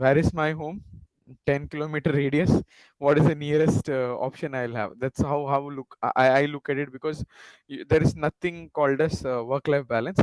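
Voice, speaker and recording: Speaking in a Tamil accent at a moderate pace, the voice has fairly even intonation and a dry, close sound with no echo. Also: man, fairly high pitch for a man. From India, Tamil Nadu (Nagercoil), schooled in Mumbai. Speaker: panelist, career advisor. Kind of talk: panel discussion, career advice. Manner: hesitant, many fillers.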